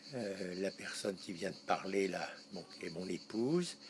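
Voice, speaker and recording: A man speaks very slowly, his pitch varying in an ordinary way. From Paris region, France. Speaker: interviewee recalling wartime childhood. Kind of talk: interview. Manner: halting.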